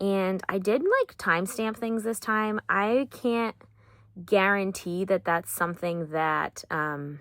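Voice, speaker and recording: A woman with an American accent speaks very slowly in a medium pitch. Her pitch varies in an ordinary way, and the recording is very clean with a silent background. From Massachusetts, US. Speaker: crochet vlogger and market vendor. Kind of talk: casual vlog. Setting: market booth. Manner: casual, hesitant with fillers.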